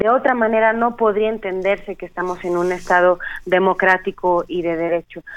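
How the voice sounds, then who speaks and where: Speaking at a moderate pace with fairly even intonation, a woman uses a plain, everyday voice at medium pitch. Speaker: human rights lawyer. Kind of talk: radio interview.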